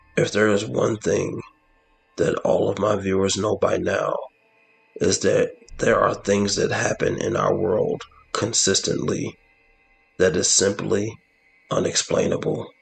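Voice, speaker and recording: A man uses a raspy, put-on character voice at a fairly slow pace. His loudness stays very even, broken by long, frequent pauses. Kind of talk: horror narration. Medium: solo performance. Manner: measured, dramatic.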